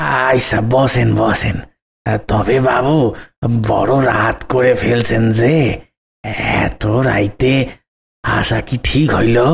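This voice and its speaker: A man does a raspy, cartoonish character voice. He speaks at a medium pitch and a very slow pace. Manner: deferential, folksy.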